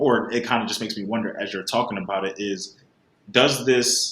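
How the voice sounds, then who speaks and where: This is a man with a normal speaking voice. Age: 20s. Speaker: podcast host. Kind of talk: interview.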